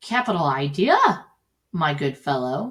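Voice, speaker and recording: A female-sounding put-on character voice at a middle pitch and a fairly slow pace. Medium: read story.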